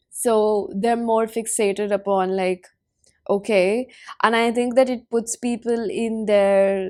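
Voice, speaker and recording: A woman's fairly high voice, fairly slow and monotone with flat intonation, on a very clean recording with a silent background. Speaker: tarot reader. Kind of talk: tarot reading. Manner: casual; halting.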